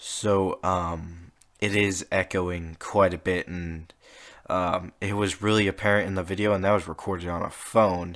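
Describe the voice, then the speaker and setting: Quiet and very deep in pitch, a man speaks at a fairly slow pace with monotone, flat intonation on a very clean recording with a silent background. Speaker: podcast host. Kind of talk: casual monologue. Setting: home room. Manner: hesitant, many fillers. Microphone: close to the microphone.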